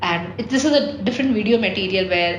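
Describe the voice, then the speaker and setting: Over noticeable background noise and audible room echo, a woman speaks at a fairly quick pace in a medium pitch with lively intonation. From India. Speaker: travel vlogger. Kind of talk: casual vlog monologue. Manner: hesitant, many fillers.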